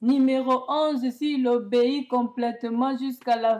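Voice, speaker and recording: A woman with a high pitch talks at a very slow pace in a monotone, flat intonation. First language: not French (speaking French). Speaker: self-proclaimed prophetess. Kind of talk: prophetic religious message to camera. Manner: halting, with repetitions and self-corrections.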